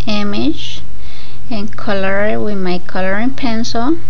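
Light noise hums in the background while a woman talks. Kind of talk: casual craft show-and-tell. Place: home room. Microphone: phone near.

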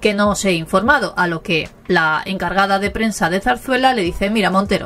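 The speaker uses an unforced reading voice. That is the whole of it.

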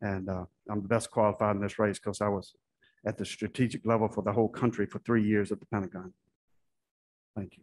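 A man with an American accent, fairly low in pitch, monotone and flat, racing along at a very fast pace with long, frequent pauses. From US South (Florida and southern Virginia); US South. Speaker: Senate candidate, army veteran; candidate. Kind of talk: candidate forum answers. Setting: stage with audience. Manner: halting. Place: hall. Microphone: podium.

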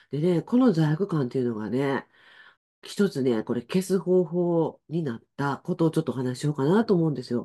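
Very deep, low pitch from a woman, with a dark, mellow tone and lively intonation over a quiet background. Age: 60s. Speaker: spiritual life coach. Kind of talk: casual livestream talk. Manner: chatty, many fillers. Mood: warm, friendly. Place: home room.

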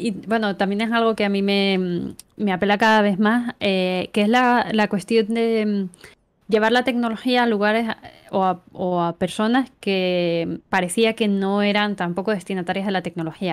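A woman's fairly even intonation at a fairly slow pace. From Canary Islands, Tenerife; Canary Islands. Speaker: university lecturer and researcher; university lecturer. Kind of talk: interview conversation. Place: home room.

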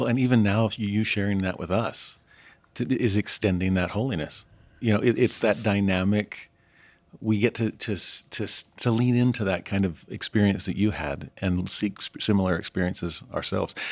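In a very clean recording with total silence behind him, a man with an unremarkable speaking voice talks at a moderate pace, fairly low in pitch, with ordinary pitch variation. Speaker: interviewer professor. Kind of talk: interview.

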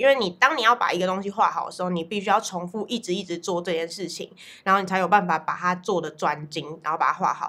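A woman talks at a fairly quick pace in a bright, sharp tone. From Taiwan. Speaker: art studio owner and painting teacher. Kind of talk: interview monologue. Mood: reflective, calm. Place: studio.

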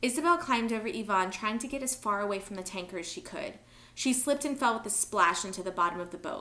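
What comes through is a natural reading voice.

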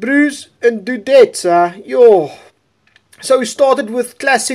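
A man with lively intonation. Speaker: gaming YouTuber commentating a Clash of Clans war replay. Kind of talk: sports-style play-by-play commentary over game replay. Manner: animated, slangy, excitable; casual, jokey, chatty.

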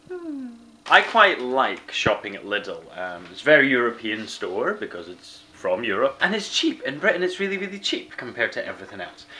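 A man with an Edinburgh accent talks at a moderate pace over light background noise. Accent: Scottish (Edinburgh). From Scotland. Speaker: vlogger. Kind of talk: casual vlog. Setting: outdoors. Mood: earnest, impassioned.

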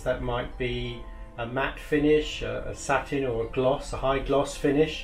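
A man at a fairly slow pace, with audible room echo and faint music in the background. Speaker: professional decorator instructor. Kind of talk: tutorial. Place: workshop.

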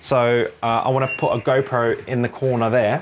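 A man speaks at a moderate pace and medium pitch, with little pitch movement.

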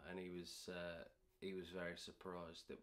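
A very deep, low male voice at a moderate pace. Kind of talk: casual vlog chat. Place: garage.

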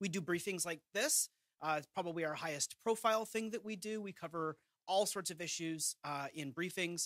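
Recorded with a dry sound, no echo, and a quiet background, a man talks at a moderate pace with a bright, sharp tone and ordinary pitch variation. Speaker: presenter. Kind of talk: briefing presentation. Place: hall. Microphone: podium.

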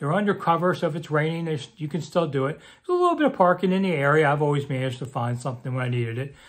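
The speaker is a man. His background is quiet. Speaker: local commentator. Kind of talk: casual vlog chat. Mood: relaxed, wry. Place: home room. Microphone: phone near.

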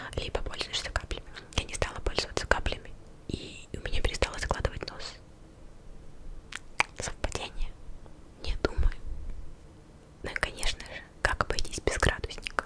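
A woman's soft-spoken whispering, broken by long, frequent pauses. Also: moderate pace. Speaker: video creator. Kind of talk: casual vlog chat. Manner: soft ASMR whisper close to mic. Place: home room. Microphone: studio mic.

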